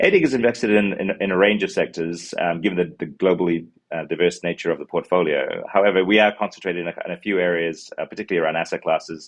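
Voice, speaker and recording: With a New Zealand accent, a man talks at a very fast pace. His pitch is very deep and low, with fairly even intonation. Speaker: fund manager. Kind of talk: interview answers. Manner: halting, many fillers.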